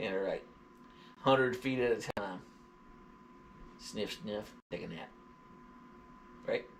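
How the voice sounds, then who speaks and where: A man with a Southern US accent talks at a fairly slow pace, leaving long, frequent pauses. His voice sits at a medium pitch with ordinary pitch variation. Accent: southern drawl. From US South, Georgia. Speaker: dog vlogger / live streamer. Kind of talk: casual livestream chat. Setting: live stream.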